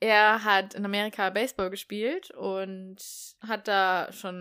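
The recording is very clean with a silent background, carrying a woman's bright, sharp, medium-pitched voice in monotone, flat intonation. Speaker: podcast co-host. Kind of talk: casual chat.

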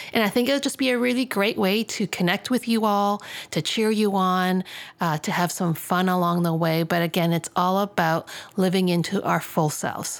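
Against a silent background in a very clean recording, a woman speaks. Her pace is moderate and her pitch varies in an ordinary way. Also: medium pitch for a woman, very even loudness. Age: 50s. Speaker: psychologist and podcast co-host. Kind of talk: casual chat. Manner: animated.

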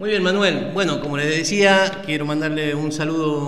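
Amid noticeable background noise and audible room echo, a man with a fairly high pitch speaks at a fairly quick pace with fairly even intonation. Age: 40s. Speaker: prison radio co-host, inmate. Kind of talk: radio talk show.

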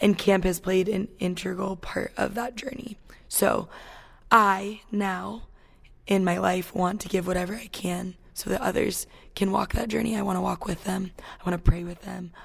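Speaking at a moderate pace, a woman with a medium-pitched voice shows vocal fry, fairly even intonation and big swings in loudness. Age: 20s. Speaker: camp staff member. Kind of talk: interview testimony.

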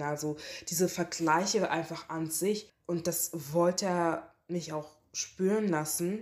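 A woman speaks at a very slow pace with a fairly low pitch. The recording is very clean, with a silent background. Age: 20s. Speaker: interviewee sharing racism experiences. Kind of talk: testimony.

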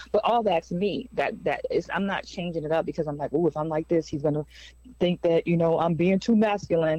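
A woman speaks with a dark, mellow tone at a fairly low pitch. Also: ordinary pitch variation, fairly quick pace. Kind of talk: stand-up comedy, crude jokes and relationship bits. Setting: stage with audience.

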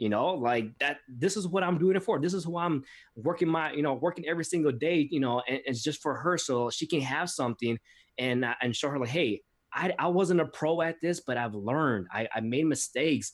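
Someone with an unremarkable speaking voice talks at a fairly quick pace with lively intonation. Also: man, fairly high pitch for a man. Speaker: podcast host and author. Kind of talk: casual interview.

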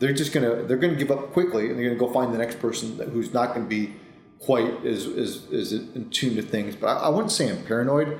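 A man talks at a fairly quick pace with a medium pitch and ordinary pitch variation. Audible room echo surrounds his voice. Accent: American. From upstate New York. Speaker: cybersecurity executive. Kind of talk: interview. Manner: repetitive false starts.

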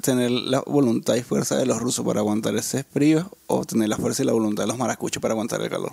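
The voice is soft-spoken, with ordinary pitch variation. It moves at a fairly quick pace. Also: man. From Venezuela. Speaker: podcast co-host. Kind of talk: casual chat. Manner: soft-spoken, low volume.

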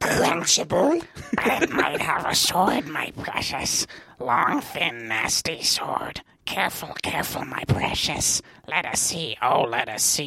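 In a put-on character voice, the speaker sounds gravelly and raspy at a low-to-middle pitch and a fairly slow pace. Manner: wheedling, hissing.

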